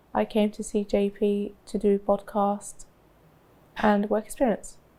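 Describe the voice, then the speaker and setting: In a London accent, a woman talks at medium pitch and a fairly slow pace. Her tone is dark and mellow, her intonation monotone and flat. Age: 20s. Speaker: college student. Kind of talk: casual chat.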